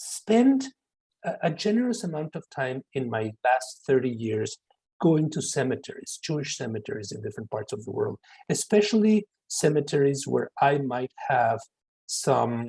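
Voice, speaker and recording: The voice is somewhat breathy with a dark, mellow tone and very wide pitch swings, at a moderate pace. The sound is dry and close, with no echo. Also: man, fairly high pitch for a man. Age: 60s. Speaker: professor. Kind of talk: lecture Q&A. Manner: halting.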